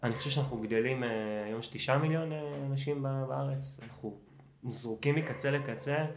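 Speaking at a moderate pace with ordinary pitch variation, a man with a fairly high pitch is heard in a room with audible echo. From Israel. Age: 30s. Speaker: running coach. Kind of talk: casual chat.

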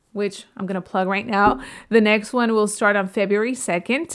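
A woman with a plain, everyday voice, fairly high in pitch with ordinary pitch variation, at a moderate pace, on a very clean recording with a silent background. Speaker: real estate podcaster. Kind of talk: podcast monologue giving tips.

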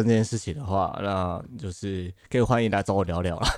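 A man speaks at a fairly quick pace. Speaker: podcast host, healing counselor. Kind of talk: casual chat. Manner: animated, joking.

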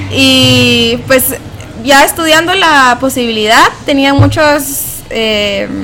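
Noticeable background noise can be heard. Over it, a woman speaks very slowly. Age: 20s. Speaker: graduate student. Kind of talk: interview.

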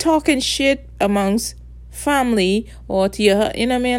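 In a Bahamian accent, a woman talks at a moderate pace. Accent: Bahamian Caribbean English. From Bahamas. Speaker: solo podcaster. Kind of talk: casual monologue rant. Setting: at home at night. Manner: rambling, profane.

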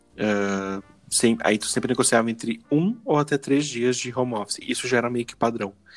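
In an unremarkable speaking voice, someone talks at a moderate pace, the pitch varying in an ordinary way. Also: man, medium pitch for a man. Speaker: podcast host. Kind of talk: casual chat.

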